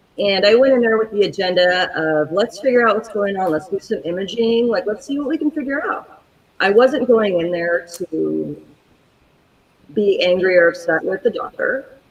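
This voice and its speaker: A plain, everyday voice from a woman at medium pitch, with lively intonation and a moderate pace. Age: 40s. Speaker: chronic pain patient advocate. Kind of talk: personal story told in interview.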